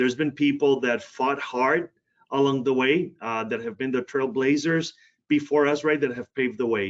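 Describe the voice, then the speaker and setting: The speech carries a Spanish accent. It moves at a moderate pace with ordinary pitch variation. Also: man, medium pitch for a man. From Puerto Rico, then Cleveland, Ohio from age 13. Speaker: healthcare diversity executive. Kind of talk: podcast interview.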